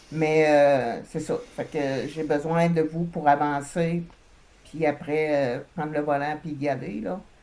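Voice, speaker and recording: In a Quebec accent, a woman speaks at a very slow pace, her very deep, low voice dark and mellow, with fairly even intonation. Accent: Québécois French. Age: 60s. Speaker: hypnosis client. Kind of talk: personal testimony. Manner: halting, many hesitations.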